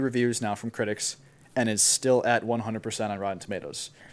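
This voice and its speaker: A man with an Upper Midwest accent talks at a very fast pace in a medium pitch with fairly even intonation, on a very clean recording with a silent background. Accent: Upper Midwest American. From US Midwest, Wisconsin (Milwaukee). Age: 20s. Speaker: recent college graduate, electronic music producer. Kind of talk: casual chat.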